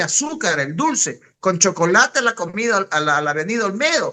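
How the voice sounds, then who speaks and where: A man's raised, projected voice, high in pitch and bright and sharp in tone, with very wide pitch swings at a moderate pace. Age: 60s. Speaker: talk show panelist. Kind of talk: casual chat. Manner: halting.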